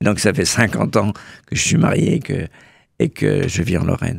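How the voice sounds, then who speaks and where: A man's fairly low, fairly slow voice with vocal fry, in a dry, close sound with no echo. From Burgundy, France (Bresse). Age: 70s. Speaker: association president, retiree. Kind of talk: radio interview. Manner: hesitant, repeats words.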